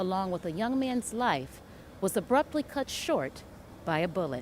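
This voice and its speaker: In a serious tone, the speaker talks at a moderate pace with very wide pitch swings. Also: woman. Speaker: TV news reporter. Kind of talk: TV news package voiceover, serious crime story. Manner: serious, measured.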